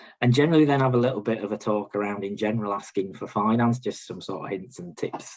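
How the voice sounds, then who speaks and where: A man with a Yorkshire accent talks at a very fast pace, hardly pausing at all. His pitch is fairly low with ordinary variation, and his loudness swings widely. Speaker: bank regional manager. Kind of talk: presentation. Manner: hesitant, many fillers.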